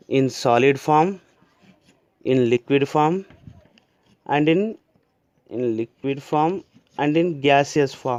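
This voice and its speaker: A man at a very slow pace, fairly high in pitch, with ordinary pitch variation and long, frequent pauses. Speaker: school teacher. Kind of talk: lecture.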